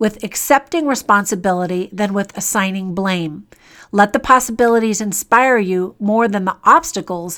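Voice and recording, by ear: The pitch variation is ordinary in this reading aloud in a natural voice.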